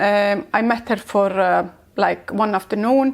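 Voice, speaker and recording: In an Icelandic accent, a woman speaks at a fairly slow pace with fairly even intonation. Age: 60s. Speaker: entrepreneur. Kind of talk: interview. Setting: on location in Iceland. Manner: halting.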